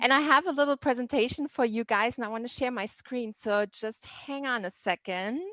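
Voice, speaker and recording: A woman with a German accent, fairly high in pitch, at a moderate pace. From southern Germany. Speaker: tourism sales manager. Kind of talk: presentation.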